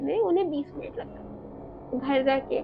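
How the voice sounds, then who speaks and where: Music plays in the background as a woman speaks in a high voice. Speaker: horror story narrator. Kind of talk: horror storytelling narration.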